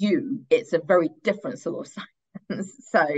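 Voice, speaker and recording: With a London accent, a woman speaks at a moderate pace. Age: 30s. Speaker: stand-up comedian and writer. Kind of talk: podcast interview.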